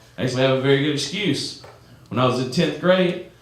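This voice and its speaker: The speaker has an American accent and talks at a very fast pace with ordinary pitch variation. Audible room echo and noticeable background noise are present. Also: man. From US South. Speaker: comedian. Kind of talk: stand-up. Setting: stage with audience. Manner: animated.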